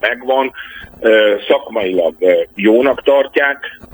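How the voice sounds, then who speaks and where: A man at a very slow pace amid noticeable background noise. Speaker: political scientist. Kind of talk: radio interview. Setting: phone call.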